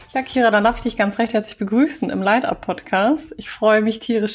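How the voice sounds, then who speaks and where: A woman's unremarkable speaking voice, fairly high-pitched and fairly quick, with ordinary pitch variation. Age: 30s. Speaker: podcast host and communication trainer. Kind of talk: interview conversation.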